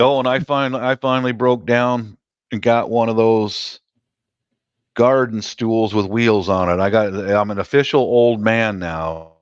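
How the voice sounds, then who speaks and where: Against a quiet background, a man talks at a fairly slow pace with medium pitch. He has an unremarkable speaking voice with ordinary pitch variation. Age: 60s. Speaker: live-stream chat host. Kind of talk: casual chat.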